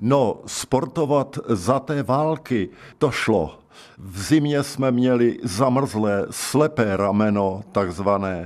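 The pace is very slow. The intonation is lively. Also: man, medium pitch for a man. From South Bohemia, České Budějovice. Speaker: retired secondary school teacher. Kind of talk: life-story radio interview.

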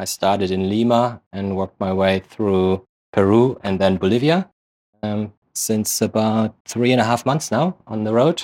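Fairly slow speech with a German accent and ordinary pitch variation, on a very clean recording with a silent background. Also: man. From Germany. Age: 30s. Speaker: real estate investor. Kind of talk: interview.

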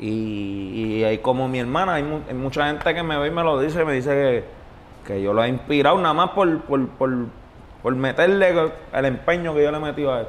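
This man talks at a moderate pace with a fairly high pitch and ordinary pitch variation. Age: 20s. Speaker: reggaeton artist. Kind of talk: interview. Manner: laid-back.

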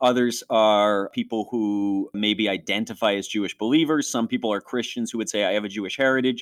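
A man with an unremarkable speaking voice talks at a moderate pace, fairly low in pitch with ordinary variation. The very clean recording has a silent background and a dry, close sound with no echo. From Western New York. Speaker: ministry leader and co-host. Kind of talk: testimony, personal storytelling.

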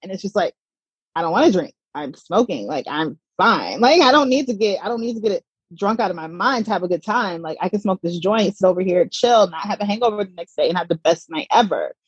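Her intonation is lively and her voice somewhat breathy, at a medium pitch for a woman. She speaks at a fairly quick pace, with a dry, close sound and no echo. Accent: American. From US South, Atlanta, Georgia. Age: 30s. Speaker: cannabis content creator, mother, former journalist. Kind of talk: casual interview.

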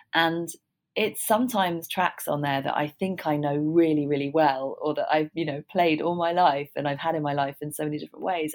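In a southern English accent, a woman talks at a fairly quick pace. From London, England. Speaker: musician, author and radio executive. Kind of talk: interview. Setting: remote call.

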